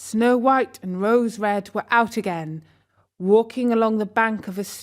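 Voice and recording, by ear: Against a silent backdrop, a passage is read out in a natural voice.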